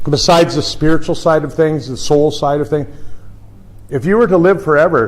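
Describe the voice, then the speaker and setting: In an American accent, a man talks at a moderate pace amid audible room echo and noticeable background noise. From US. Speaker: chiropractor. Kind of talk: lecture.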